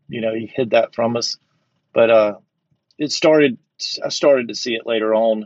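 The speaker is a man with a Southern US accent. He talks at a moderate pace. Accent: Southern American. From Georgia, US South. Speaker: recovering compulsive gambler. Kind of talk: interview, personal story.

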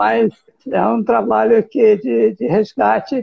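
A man speaks at a very slow pace. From Brazil, interior of São Paulo state. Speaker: herbalist and forest researcher. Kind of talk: casual interview.

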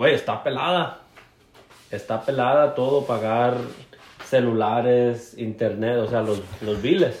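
A man at a medium pitch with ordinary pitch variation, a very slow pace, long and frequent pauses, and audible room echo. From Mexico, Jalisco coast. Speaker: podcast co-host. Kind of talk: casual chat.

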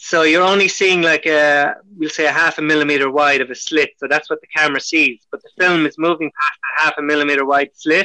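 In an Irish accent, a man with a fairly high pitch talks at a fairly quick pace, keeping his intonation fairly even. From Ireland. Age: 40s. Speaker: pinhole camera maker. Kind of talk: casual chat.

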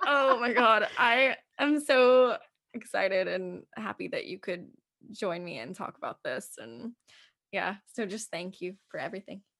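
In a plain, everyday voice, a woman talks at a fairly slow pace with a fairly high pitch, lively intonation and big swings in loudness. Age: 20s. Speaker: podcast host and poet. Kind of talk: casual chat. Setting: video call.

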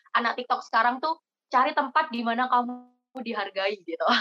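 Recorded dry and close with no echo, a woman with a plain, everyday voice and a fairly high pitch talks at a fairly quick pace. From Indonesia, East Java (Jember). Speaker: university student, scholarship organization leader. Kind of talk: casual podcast interview.

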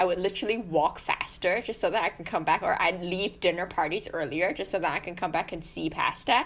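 A woman speaks in a normal speaking voice at a medium pitch. Her intonation is lively. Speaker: podcast co-host, guide dog fosterer. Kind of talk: casual chat.

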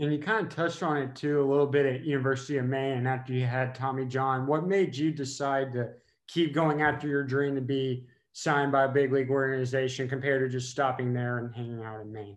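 Delivered at a very fast pace in an American accent, the speech keeps a fairly even intonation. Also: man, medium pitch for a man. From Texas. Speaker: podcast co-host. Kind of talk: casual interview.

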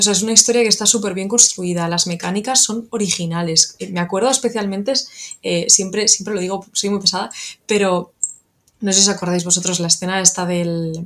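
Using a plain, everyday voice, a woman of medium pitch talks at a fairly quick pace with fairly even intonation. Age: 30s. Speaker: video game PR manager. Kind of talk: casual chat.

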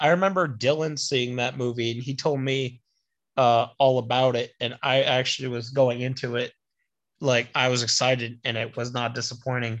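Delivered at a moderate speed, this is an unremarkable speaking voice. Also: man, medium pitch for a man. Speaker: podcast co-host. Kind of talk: casual chat.

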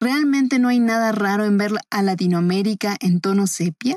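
In a Mexican accent, a woman speaks at a fairly high pitch and a fairly slow pace with ordinary pitch variation, in a dry, close sound with no echo. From Mexico City. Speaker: podcast commentator. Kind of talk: scripted narration.

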